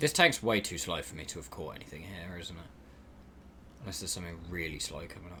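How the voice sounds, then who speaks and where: Speaking very fast in a London accent, the voice has ordinary pitch variation, long and frequent pauses, and big swings in loudness. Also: man, very deep, low pitch for a man. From South East London. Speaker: video game streamer. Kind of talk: live gameplay commentary. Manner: casual, chatty.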